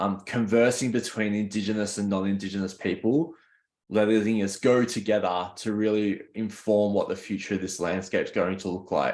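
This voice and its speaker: A man with an Australian accent, fairly low in pitch, fairly even in intonation, over a quiet background. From Australia, Worimi country (NSW mid-north coast). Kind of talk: conference presentation. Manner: halting, frequent repetitions.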